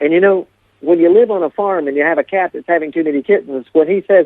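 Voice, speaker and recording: A man talks very fast in an Appalachian accent. His pitch is high, with ordinary rise and fall. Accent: Appalachian American. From Appalachia, eastern United States. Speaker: storyteller. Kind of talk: interview storytelling.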